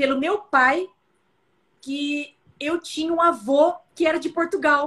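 On a very clean recording with a silent background, a woman speaks with a São Paulo accent. Her high pitch varies in an ordinary way at a fairly slow pace. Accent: paulista. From interior of São Paulo state, Brazil. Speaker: occupational physician. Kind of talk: casual interview. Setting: live stream.

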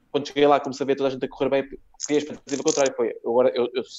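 A man with fairly high pitch speaks with fairly even intonation. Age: 30s. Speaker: comedian. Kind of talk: casual chat.

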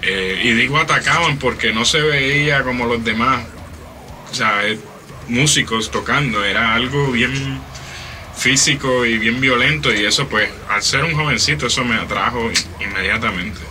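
Amid noticeable background noise and audible room echo, a man speaks at a fairly slow pace and medium pitch, with ordinary pitch variation and long, frequent pauses. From Puerto Rico, Trujillo Alto. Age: 30s. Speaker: metal drummer. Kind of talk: interview.

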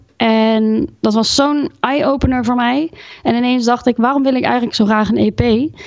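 Keeping very even loudness and fairly even intonation, a woman speaks at a moderate pace in a high voice. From Gelderland, Netherlands (Groesbeek). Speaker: singer-songwriter. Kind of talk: interview.

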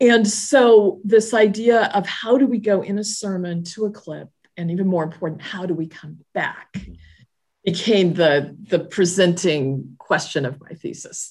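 A woman speaks in an ordinary speaking voice with an American accent, at a medium pitch and a fairly slow pace. Her pitch varies in an ordinary way while her loudness swings widely. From Southern California. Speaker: church leader. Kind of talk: casual interview.

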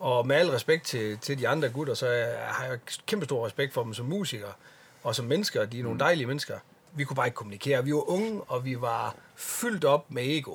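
Somewhat breathy, the voice moves at a fairly quick pace with lively intonation. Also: man, fairly high pitch for a man. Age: 40s. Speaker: metal bassist. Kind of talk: casual chat.

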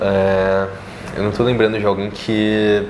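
A man's fairly low-pitched voice at a moderate pace, with audible room echo and noticeable background noise. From Brasília, Brazil. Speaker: adult content creator. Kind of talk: casual interview.

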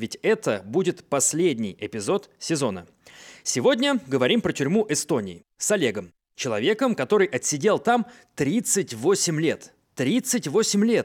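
A man speaks at a fairly slow pace with a fairly high pitch, very wide pitch swings and vocal fry. The sound is dry and close with no echo, in a very clean recording with a silent background. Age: 30s. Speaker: podcast host. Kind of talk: podcast intro narration.

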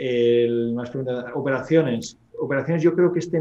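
Ordinary pitch variation marks this plain, everyday voice. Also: man. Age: 30s. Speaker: real estate investor. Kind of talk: interview.

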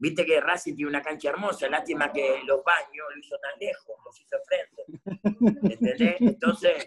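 Speaking at a moderate pace with hardly any pauses, a man shows big swings in loudness. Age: 50s. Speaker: former footballer and coach. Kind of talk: casual interview chat.

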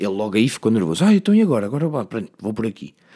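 Speaking very fast with a European Portuguese accent, a man uses a fairly low pitch, lively intonation and an animated tone in a very clean recording with a silent background. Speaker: podcast host. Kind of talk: casual solo monologue.

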